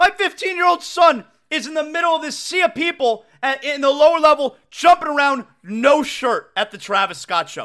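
On a very clean recording with a silent background, a man raises and projects his voice at an extremely high pitch, his tone bright, sharp and animated, his intonation lively, at a moderate pace. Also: hardly any pauses. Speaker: sports radio host. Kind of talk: casual chat. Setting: home studio. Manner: loud.

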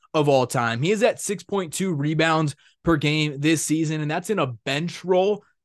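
Here a man talks in a normal speaking voice at a fairly high pitch with ordinary pitch variation. His pace is moderate, and the background is quiet. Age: 20s. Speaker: sports podcast host and beat writer. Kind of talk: solo sports analysis podcast.

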